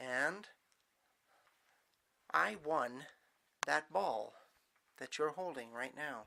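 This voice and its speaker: Speaking at a very slow pace, a man's voice sits fairly high in pitch. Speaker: storyteller. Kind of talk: improvised bedtime story narration.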